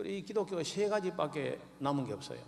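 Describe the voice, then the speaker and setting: In a strong Gyeongsang accent, the speaker goes at a fairly quick pace with very wide pitch swings, with audible room echo. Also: man. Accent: thick Gyeongsang dialect. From Gyeongsang region, Jirisan mountains. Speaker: pastor. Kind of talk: sermon. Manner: halting, many fillers.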